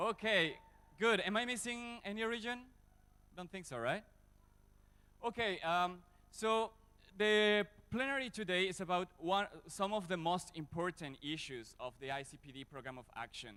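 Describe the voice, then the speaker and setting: Raised and projected, a man's high, bright, sharp voice moves at a moderate pace with lively intonation, big swings in loudness and long, frequent pauses. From Mexico. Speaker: plenary moderator. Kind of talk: conference moderation. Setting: stage with audience.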